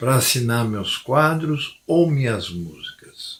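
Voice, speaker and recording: A man with a medium pitch talks at a very slow pace. His intonation is lively. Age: 60s. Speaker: former pastor, religious commentator. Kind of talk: religious monologue to camera.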